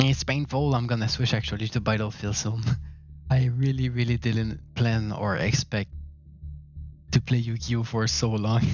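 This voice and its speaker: A man talks at a moderate pace with long, frequent pauses while music plays in the background. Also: medium pitch for a man, ordinary pitch variation. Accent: Quebec. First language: French. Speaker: gaming streamer. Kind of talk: live gaming stream chat.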